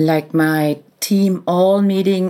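A woman with a German accent speaks in a monotone, flat intonation with a dark, mellow tone. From Austria, Vienna. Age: 40s. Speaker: business executive. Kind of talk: interview. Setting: hotel room, remote recording.

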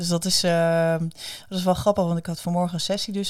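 Very clean recording, silent background, and a woman speaking fairly low. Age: 40s. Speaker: speaker, coach and author. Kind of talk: interview. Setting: studio. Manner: enthusiastic.

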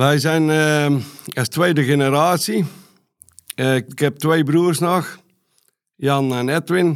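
A man's fairly high voice at a very slow pace, with long, frequent pauses, very even loudness and fairly even intonation. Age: old. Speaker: dairy farmer and contractor business owner. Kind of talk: interview. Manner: halting, many hesitations.

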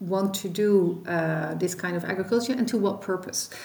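Someone with a Dutch accent speaks at a moderate pace with ordinary pitch variation. The room echo is audible. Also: woman. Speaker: policy expert, former minister. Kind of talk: expert interview.

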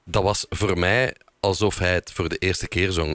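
Very deep and low in pitch, a man talks at a fairly slow pace with ordinary pitch variation. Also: dry, close sound with no echo. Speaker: podcast host. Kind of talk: podcast episode with scripted narration and phone interview.

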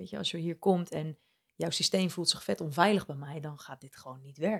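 A woman speaks at a moderate pace in a normal speaking voice, fairly low in pitch with ordinary pitch variation. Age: young. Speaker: life coach. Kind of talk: casual interview. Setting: at her home.

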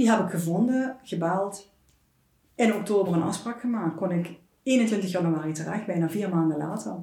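A woman talks at a moderate pace in a medium pitch with ordinary variation. Audible room echo surrounds her voice. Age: 50s. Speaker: food blogger. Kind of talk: personal testimony in interview. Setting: at her home.

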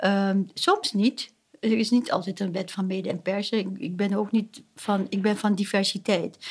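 A woman speaks in a somewhat breathy voice. Her intonation is fairly even. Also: medium pitch for a woman, fairly slow pace. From Suriname. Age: 60s. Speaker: family therapist. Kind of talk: interview. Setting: at her home. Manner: halting.

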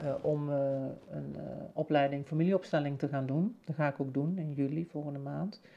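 A woman's dark, mellow tone at a moderate pace against a quiet background. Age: 50s. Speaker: podcast host, spiritual coach. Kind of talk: personal reflective monologue. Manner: hesitant, many fillers and repetitions.

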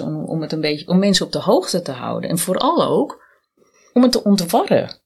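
A woman's voice carries vocal fry and lively intonation. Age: 50s. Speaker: cancer survivor, identity and branding consultant. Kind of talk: podcast interview.

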